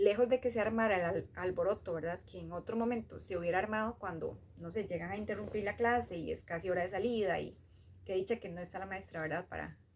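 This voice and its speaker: A woman with a Costa Rican accent talks at a very fast pace, her medium-pitched voice carrying vocal fry and ordinary pitch variation. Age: 30s. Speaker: storyteller sharing a personal memory. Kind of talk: personal storytelling. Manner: hesitant, many fillers.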